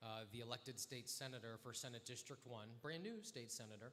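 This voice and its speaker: Loud and bright with a sharp tone, a man speaks at a medium pitch and a fairly quick pace. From Delaware. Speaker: state senator; nonprofit worker. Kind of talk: interview on stage. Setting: stage with audience at live event.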